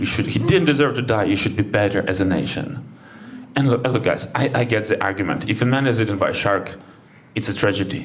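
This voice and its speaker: A man with a Ukrainian accent at a very fast pace, medium pitch and ordinary pitch variation, very even loudness, audible room echo and noticeable background noise. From Ukraine. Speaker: stand-up comedian. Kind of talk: stand-up. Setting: stage with audience.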